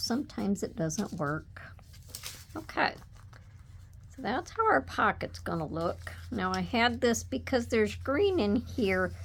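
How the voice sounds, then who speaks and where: A soft-spoken woman at a fairly slow pace. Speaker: papercraft tutorial creator. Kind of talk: tutorial. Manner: casual.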